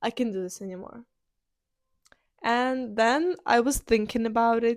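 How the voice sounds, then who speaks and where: A woman with a Ukrainian accent speaks at a fairly slow pace in a fairly high voice with ordinary pitch variation, on a very clean recording with a silent background. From Ukraine. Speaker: podcaster. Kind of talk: personal monologue. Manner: halting.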